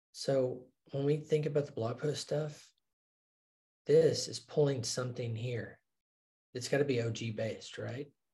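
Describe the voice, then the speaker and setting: Fairly high-pitched and somewhat breathy, a man speaks at a fairly slow pace with fairly even intonation and a dark, mellow tone. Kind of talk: casual business discussion.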